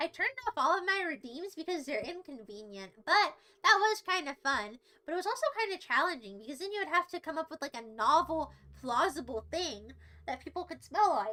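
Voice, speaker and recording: Raised and projected, a woman's voice with a bright, sharp tone sits at an extremely high pitch, moving through very wide pitch swings and big swings in loudness at a fairly quick pace. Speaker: livestreamer. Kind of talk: casual livestream chat reading chat. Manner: animated.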